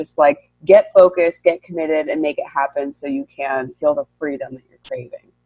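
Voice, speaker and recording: In a dry, close sound with no echo, a woman with an American accent speaks at a moderate pace. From New York. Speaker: women's leadership coach. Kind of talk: interview. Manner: articulate.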